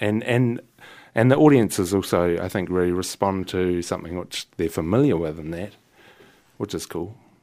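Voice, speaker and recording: The recording is very clean, with a silent background. A man with a New Zealand accent speaks in a very deep, low voice with a dark, mellow tone. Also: ordinary pitch variation, moderate pace. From New Zealand, Wellington. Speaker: jazz saxophonist and composer. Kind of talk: casual interview. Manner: halting.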